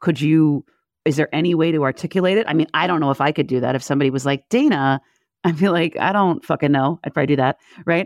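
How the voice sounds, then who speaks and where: A woman's very deep, low voice at a very fast pace, with ordinary pitch variation and very even loudness, over a quiet background. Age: 40s. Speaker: podcast host. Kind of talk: scripted narration; interview.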